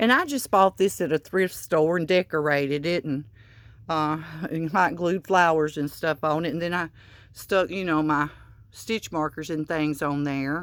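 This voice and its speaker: In a Southern US accent, a woman talks at a moderate pace with very deep, low pitch and fairly even intonation on a very clean recording with a silent background. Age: 60s. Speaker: crochet vlogger. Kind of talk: casual room tour. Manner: halting, many fillers.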